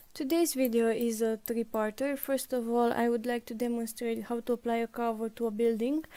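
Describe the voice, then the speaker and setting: A woman with a slight non-native accent and a fairly high pitch speaks at a fairly quick pace, with a dark, mellow tone, fairly even intonation, very even loudness and hardly any pauses. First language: not English. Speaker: game support staff presenting tutorials. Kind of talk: tutorial.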